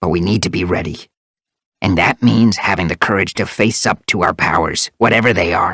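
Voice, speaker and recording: Growling in a put-on character voice, the speaker goes at a fairly quick pace with a low pitch. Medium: read story. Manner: intense, curt.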